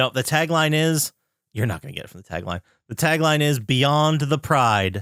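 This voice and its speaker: A man with an American accent mumbles at a fairly high pitch, with big swings in loudness, in a very clean recording with a silent background and a dry, close sound with no echo. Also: lively intonation, moderate pace. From northeastern Pennsylvania. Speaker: podcast host. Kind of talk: casual chat. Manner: mumbling.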